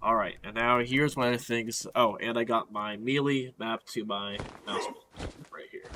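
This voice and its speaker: Over noticeable background noise, a man talks at a moderate pace, medium in pitch, in a monotone, flat way. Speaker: gaming youtuber. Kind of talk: tutorial. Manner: casual, hesitant with fillers.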